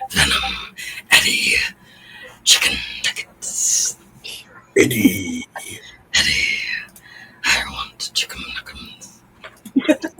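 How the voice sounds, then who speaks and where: A put-on character voice, gravelly and extremely high-pitched, at a very slow pace with long, frequent pauses. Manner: demanding, growling.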